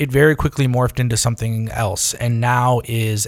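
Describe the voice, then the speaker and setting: A man speaks with an American accent at medium pitch and a fairly quick pace. His intonation is monotone and flat, and his voice is somewhat breathy. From far northern New York, Adirondacks. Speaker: food journalist and editor. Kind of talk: casual interview chat.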